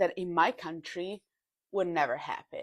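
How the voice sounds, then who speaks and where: The speaker is a woman with an Italian accent. She talks at a fairly slow pace. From Italy, Milan. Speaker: content creator. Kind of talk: casual social media monologue.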